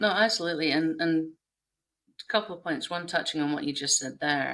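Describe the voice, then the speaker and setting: A woman with a Scottish accent at a fairly low pitch and a fairly quick pace, with ordinary pitch variation and big swings in loudness. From northeast Scotland. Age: 40s. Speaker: game industry professional. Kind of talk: casual chat.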